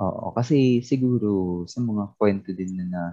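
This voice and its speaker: A man's voice with ordinary pitch variation. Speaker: podcast co-host. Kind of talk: casual chat. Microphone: weak internet connection.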